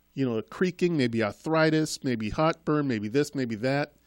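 An unremarkable speaking voice from a man, fairly high in pitch, with lively intonation and a moderate pace, in a dry, close sound with no echo and a very clean recording against a silent background. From Trinidad, raised in Boston. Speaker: school committee member. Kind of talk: casual interview chat. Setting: studio.

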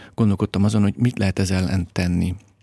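In a very clean recording with a silent background and a dry, close sound with no echo, a man speaks with an ordinary speaking voice, fairly low in pitch and with fairly even intonation. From Hungary, Great Plain near the Tisza. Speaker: documentary filmmaker and environmental activist. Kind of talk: interview.

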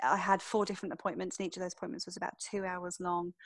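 The intonation stays fairly even in an English accent, captured on a very clean recording with a silent background. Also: woman. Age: 40s. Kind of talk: interview monologue.

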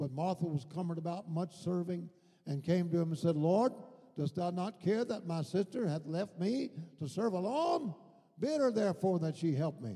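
A man speaks in an animated tone at a high pitch. His pitch variation is ordinary. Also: moderate pace. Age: 80s. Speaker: preacher. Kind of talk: sermon. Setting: church. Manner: animated, fervent, with frequent shouted hallelujahs and call-and-response urging.

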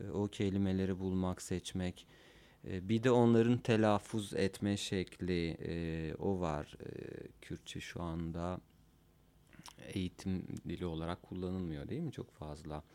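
Very slowly, a man with a very deep, low pitch and a dark, mellow tone speaks in a Kurdish accent, his pitch varying in an ordinary way. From Cizre, southeastern Turkey. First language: Kurdish (speaking Turkish). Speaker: musician and school counselor. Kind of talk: casual chat. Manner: halting.

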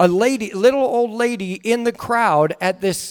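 A man with an American accent and lively intonation, at a moderate pace, in a dry, close sound with no echo. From northern California. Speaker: guest preacher. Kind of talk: sermon. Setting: church.

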